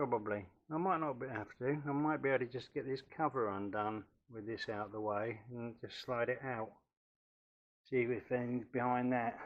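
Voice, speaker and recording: With an English accent, a man speaks at a moderate pace and medium pitch. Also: ordinary pitch variation. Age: 60s. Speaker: DIY workshop vlogger. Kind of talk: tutorial. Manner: casual.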